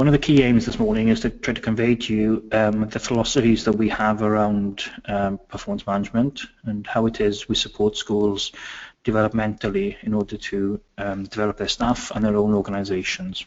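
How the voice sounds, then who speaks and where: A man's fairly low voice with a Welsh accent, fairly even intonation and a fairly quick pace. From Wales. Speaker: education consultant. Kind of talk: webinar presentation. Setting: online webinar. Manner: hesitant, many fillers.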